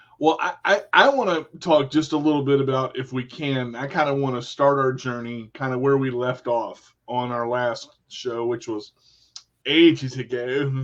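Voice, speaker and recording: Using a plain, everyday voice, a man speaks at medium pitch and a moderate pace with fairly even intonation. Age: 40s. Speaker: radio show host. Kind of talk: casual interview. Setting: live video stream.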